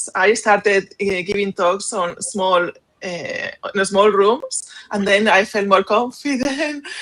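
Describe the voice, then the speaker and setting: A woman's medium-pitched voice with a Spanish accent, fairly slow, with ordinary pitch variation. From Spain. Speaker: SEO professional, panelist. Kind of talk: panel discussion.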